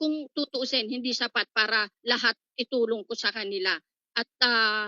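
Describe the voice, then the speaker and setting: At a moderate pace, a woman speaks with a fairly high pitch and ordinary pitch variation. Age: 60s. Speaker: network marketing member. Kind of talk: testimony. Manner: halting.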